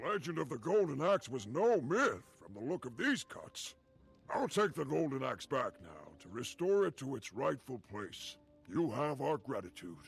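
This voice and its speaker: A man puts on a character voice at a fairly high pitch, with very wide pitch swings. He talks at a moderate pace while faint music plays behind him. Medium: video game. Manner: formal, archaic phrasing.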